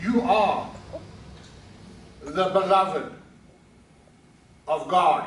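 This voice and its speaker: A man with a high pitch and ordinary pitch variation talks amid noticeable background noise and audible room echo. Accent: South African. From South Africa. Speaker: pastor. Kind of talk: sermon. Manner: halting.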